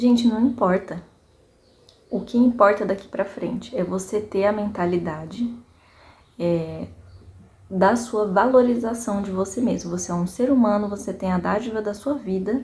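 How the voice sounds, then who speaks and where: Somewhat breathy, a woman talks at a moderate pace and medium pitch with ordinary pitch variation, leaving long, frequent pauses. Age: 30s. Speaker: vlogger, small business owner. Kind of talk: personal reflection monologue. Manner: casual, conversational with fillers.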